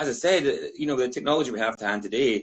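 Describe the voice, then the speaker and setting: A man is speaking. He has a Scottish accent. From Scotland. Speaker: whisky brand ambassador. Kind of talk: casual chat.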